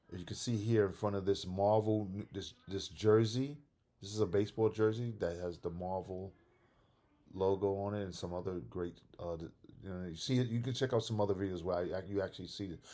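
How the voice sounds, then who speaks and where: Here a man talks at a fairly quick pace in a fairly low voice. His tone is dark and mellow, his intonation fairly even. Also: very clean recording, silent background. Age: 60s. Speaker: comic collector YouTuber. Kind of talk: casual vlog talk. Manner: casual, repetitive with false starts.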